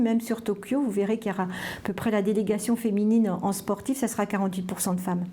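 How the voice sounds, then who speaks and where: Her words rush out very fast. This woman's pitch sits in the middle range. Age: 60s. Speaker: sports official and former cyclist. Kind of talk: interview testimony. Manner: halting, many fillers.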